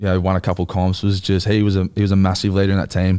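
A very fast man's voice in an Australian accent, very deep and low in pitch, with a dark, mellow tone and monotone, flat intonation, in a very clean recording with a silent background. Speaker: rugby league player. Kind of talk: casual chat. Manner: relaxed, casual.

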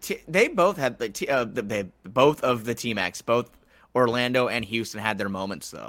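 This is an unremarkable speaking voice. The intonation is lively and the pace moderate. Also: man, medium pitch for a man. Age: 20s. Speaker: basketball podcaster. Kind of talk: casual chat.

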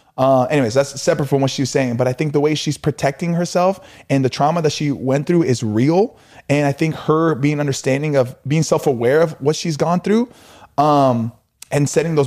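A man talks at a fairly quick pace in a fairly high pitch, with ordinary pitch variation and very even loudness. It is a normal speaking voice on a very clean recording with a silent background. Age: 30s. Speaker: podcast co-host, relationship advice. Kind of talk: casual chat.

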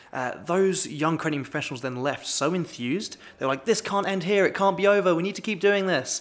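With a British accent, a man rattles along at a very fast pace in a high pitch. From Britain. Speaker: manager of a young adult professional network. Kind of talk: podcast interview.

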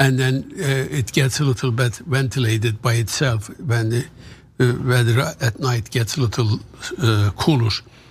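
A man at medium pitch with a Turkish accent, moderate pace, and ordinary pitch variation. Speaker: author. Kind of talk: casual interview. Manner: halting.

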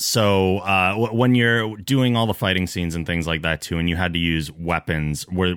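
In an American accent, the speaker moves at a moderate pace with ordinary pitch variation. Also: man. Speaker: podcast host. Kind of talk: casual chat. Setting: studio.

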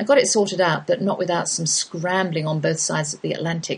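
A woman talks at medium pitch. Her voice is somewhat breathy. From England. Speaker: homeschooling radio host. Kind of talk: radio talk show hosting.

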